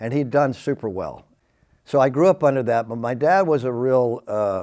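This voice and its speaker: In a very clean recording with a silent background, a man speaks at a moderate pace with a medium pitch, a dark, mellow tone and ordinary pitch variation. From Southeast Texas, Beaumont. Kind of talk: testimony. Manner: hyper, energetic; halting, many fillers.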